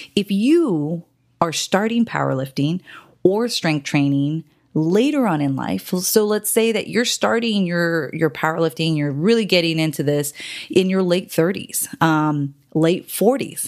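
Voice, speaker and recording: A woman's plain, everyday voice, fairly low in pitch and fairly slow, with lively intonation, on a very clean recording with a silent background. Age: 40s. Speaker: powerlifting coach and gym owner. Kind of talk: solo podcast talk. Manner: casual, with filler words.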